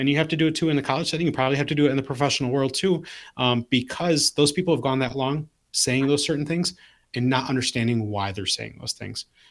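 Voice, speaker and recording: An unremarkable speaking voice with an American accent shows ordinary pitch variation. The recording is very clean, with a silent background. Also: man. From Southwest Detroit. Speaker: athletic trainer, leadership speaker. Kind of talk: casual panel discussion.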